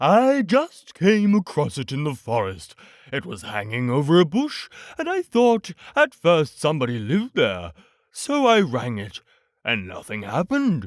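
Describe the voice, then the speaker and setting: A put-on character voice from a man, pitched fairly high and delivered at a moderate pace. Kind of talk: bedtime story. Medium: read story. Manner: pompous, wordy.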